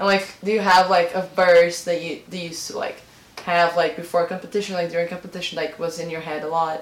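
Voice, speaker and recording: A woman's very fast, monotone, flat delivery at a fairly low pitch, with big swings in loudness and noticeable background noise. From Brazil. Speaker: podcast host. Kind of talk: casual chat.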